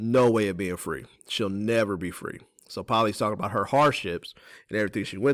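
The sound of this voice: An unforced reading voice over a quiet background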